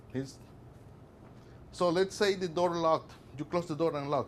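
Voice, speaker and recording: A fairly quick delivery with a non-native accent. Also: man. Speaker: workplace safety presenter. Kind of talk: presentation to a class. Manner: animated, conversational.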